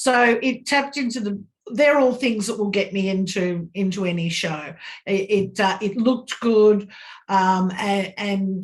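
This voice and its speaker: Somewhat breathy and at a medium pitch, a woman with an Australian accent speaks at a moderate pace with ordinary pitch variation. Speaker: fan interviewee. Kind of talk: interview.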